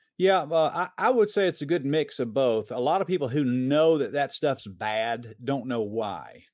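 Talking at a moderate pace with hardly any pauses, a man with an American accent uses a normal speaking voice, a fairly high pitch and lively intonation, recorded very cleanly over a silent background. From US South, Metro Atlanta, Georgia. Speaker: preacher and filmmaker. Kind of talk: interview.

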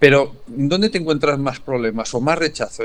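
A man speaks in a normal speaking voice, fairly high in pitch. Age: 60s. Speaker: educational podcast co-host. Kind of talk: casual chat.

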